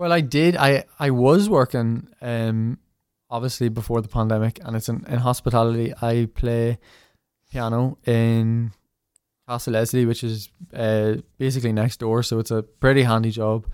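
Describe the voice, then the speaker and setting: In a Northern Irish accent, a man with a medium pitch talks at a moderate pace with fairly even intonation, on a very clean recording with a silent background and a dry, close sound with no echo. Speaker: musician, tin whistle content creator. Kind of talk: casual interview chat.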